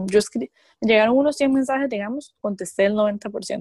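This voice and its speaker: A woman's ordinary speaking voice, fairly high and lively in intonation, at a moderate pace in a dry, close sound with no echo. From Costa Rica. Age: 20s. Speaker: professional wrestler. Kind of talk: interview.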